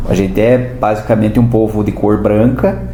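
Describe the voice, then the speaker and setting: A man speaks at a fairly low pitch in a monotone, flat way. Noticeable background noise and audible room echo fill the recording. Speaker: historian and teacher, podcast guest. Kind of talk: interview, explaining local history. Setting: podcast studio.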